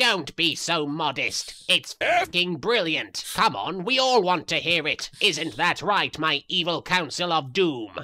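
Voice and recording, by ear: A man does a cartoonish character voice, fairly high, bright and sharp, with lively intonation. He talks at a fairly slow pace with few pauses.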